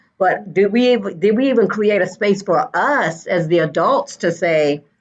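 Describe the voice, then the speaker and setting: A woman with an ordinary speaking voice talks at a moderate pace and medium pitch, with ordinary pitch variation and very even loudness. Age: 50s. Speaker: school educator. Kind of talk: panel discussion.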